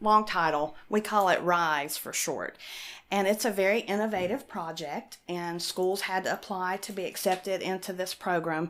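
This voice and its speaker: The speaker has an Appalachian accent and fairly even intonation at a moderate pace. The recording is very clean, with a silent background. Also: woman, medium pitch for a woman. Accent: Appalachian mountain accent, noticeable. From western North Carolina mountains (Appalachia). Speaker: science outreach director. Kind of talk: interview.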